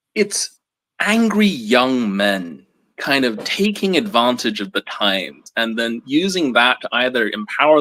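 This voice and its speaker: Very wide pitch swings and a bright, sharp tone mark a man speaking at medium pitch and a fairly slow pace, on a very clean recording with a silent background and a dry, close sound with no echo. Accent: American. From England, South London. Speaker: book publisher marketing staff. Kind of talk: live book discussion. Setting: livestream.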